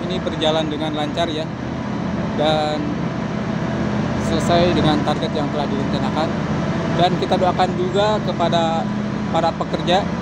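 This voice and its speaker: Long, frequent pauses break up speech at a moderate pace, with a dry sound lacking echo and loud background noise. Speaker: construction progress vlogger. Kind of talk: commentary. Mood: upbeat, admiring. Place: open country. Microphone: phone near.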